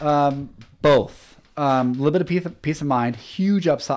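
This animated voice has lively intonation and a Pacific Northwest accent on a very clean recording with a silent background. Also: man. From US Pacific Northwest (Washington). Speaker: sales manager. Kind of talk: casual interview. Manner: halting.

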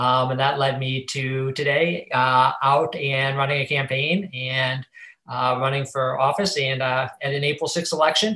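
In an American accent, the voice has a bright, sharp tone and fairly even intonation. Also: man, fairly high pitch for a man, fairly slow pace. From Ohio, Cleveland. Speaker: finance professional. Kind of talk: interview.

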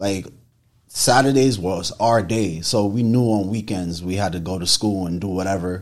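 At a moderate pace, a man with a New York accent speaks in a fairly low pitch with ordinary pitch variation. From New York, Haitian family. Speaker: photographer. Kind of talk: casual interview chat. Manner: halting, many fillers.

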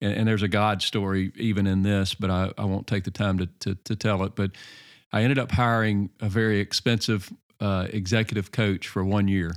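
A man's unremarkable speaking voice, fairly low in pitch with fairly even intonation at a moderate pace, on a very clean recording with a silent background. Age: 40s. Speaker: pastor and leadership coach. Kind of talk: casual interview.

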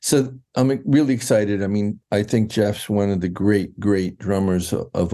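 Here a man speaks with an American accent at a fairly low pitch. His tone is dark and mellow. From New York, Westchester County. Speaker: music publisher and drummer. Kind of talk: casual interview chat. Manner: hesitant, many fillers.

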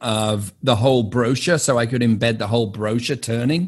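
The voice moves at a moderate pace with a British accent. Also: man. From England. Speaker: podcast host and real estate firm owner. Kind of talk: casual interview chat. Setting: video call with guests.

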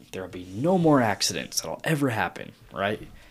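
A man with vocal fry and lively intonation, at a fairly quick pace. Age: 20s. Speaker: police officer. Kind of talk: casual chat.

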